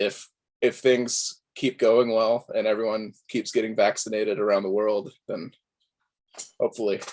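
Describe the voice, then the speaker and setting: Speaking with an American accent, a man keeps a monotone with flat intonation. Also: medium pitch for a man, moderate pace. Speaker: musician. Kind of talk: interview. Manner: halting.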